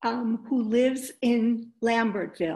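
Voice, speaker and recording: Against a quiet background, a woman speaks at a very slow pace. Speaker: co-host and poet; co-host, poet. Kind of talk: poetry reading. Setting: video call. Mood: warm, cheerful. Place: home room. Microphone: webcam.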